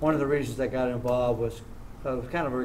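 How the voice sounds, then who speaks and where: The speaker has an American accent and talks at a very fast pace. The intonation is monotone and flat, with audible room echo. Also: man. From southern California (Orange County). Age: 60s. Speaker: martial arts champion. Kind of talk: interview. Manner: halting.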